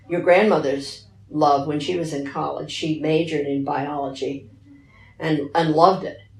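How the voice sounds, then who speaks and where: With an American accent, the speaker talks at a fairly slow pace, with vocal fry. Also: woman. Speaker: retired teacher. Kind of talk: interview answer.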